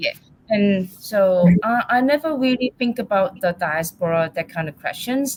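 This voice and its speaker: A somewhat breathy woman at a fairly slow pace, with lively intonation. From Hong Kong. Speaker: artist. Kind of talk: panel discussion. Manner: halting.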